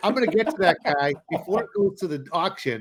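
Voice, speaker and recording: A man talks with a Boston accent and ordinary pitch variation. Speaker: land investing podcast co-host. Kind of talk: casual chat. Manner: animated.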